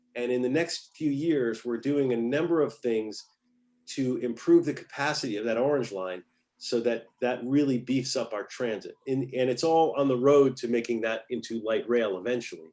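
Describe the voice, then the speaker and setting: This man has a medium pitch and ordinary pitch variation. His tone is dark and mellow. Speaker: city council member. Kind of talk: public presentation. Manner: fast.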